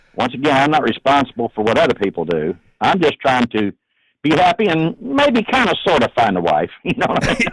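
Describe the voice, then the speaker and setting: With vocal fry and very wide pitch swings, a man at a fairly high pitch talks fairly quickly in a dry, close sound with no echo. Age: 70s. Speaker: truck owner called about his bumper sticker. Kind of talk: phone call interview.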